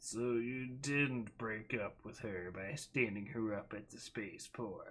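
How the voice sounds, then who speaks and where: Using a put-on character voice, a man speaks raspily at a medium pitch and a fairly slow pace with hardly any pauses. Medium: read story. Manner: sly, teasing.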